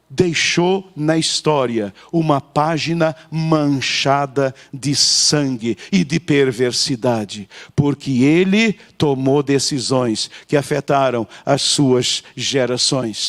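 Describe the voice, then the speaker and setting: Speaking at a very slow pace with hardly any pauses, a man with a fairly high pitch keeps his loudness very even and his pitch variation ordinary. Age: 60s. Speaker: pastor. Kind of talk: sermon.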